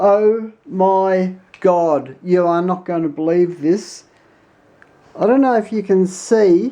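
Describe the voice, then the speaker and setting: Speaking very slowly in an Australian accent, a woman has a medium pitch with ordinary variation. Her tone is dark and mellow. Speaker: tech YouTuber. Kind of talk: tutorial. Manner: casual, hesitant with fillers; animated.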